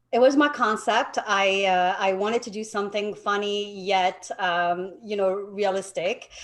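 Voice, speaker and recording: A woman with a French accent speaks at a fairly slow pace and a medium pitch, with hardly any pauses. Her intonation is fairly even, and noticeable background noise is present. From France, Paris. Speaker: realtor. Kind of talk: interview.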